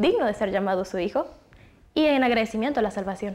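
Her tone dark and mellow, a woman speaks at a fairly quick pace with lively intonation. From Chiapas, Mexico. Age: 20s. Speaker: university student; panel discussant. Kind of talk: Bible study discussion. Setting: university meeting room. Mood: friendly, engaged. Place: studio. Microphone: lapel.

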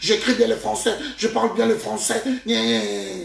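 A man with a high pitch and a fairly bright tone speaks in fairly even intonation, with vocal fry. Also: moderate pace.

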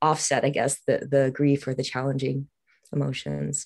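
Against a quiet background, a woman speaks with a dark, mellow tone at a very deep, low pitch. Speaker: participant. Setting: video call. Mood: thoughtful, supportive. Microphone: video call.

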